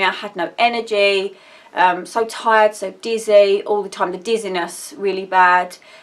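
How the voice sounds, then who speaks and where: In an Essex accent, a woman speaks fairly slowly at a medium pitch with fairly even intonation. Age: 30s. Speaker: vlogger. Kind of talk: personal vlog update. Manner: rambling, hesitant.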